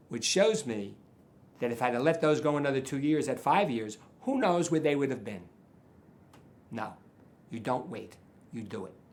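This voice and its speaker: A man's medium-pitched voice with lively intonation, at a moderate pace with long, frequent pauses and audible room echo. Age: 70s. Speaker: charity donor. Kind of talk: interview. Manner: repetitive, halting.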